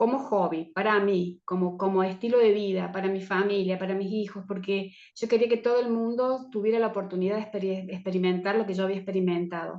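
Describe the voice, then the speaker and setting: The speaker talks at a fairly quick pace with fairly even intonation. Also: woman, medium pitch for a woman, hardly any pauses. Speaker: teacher of Chinese herbal medicine. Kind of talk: online course presentation talk. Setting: video call. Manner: fast.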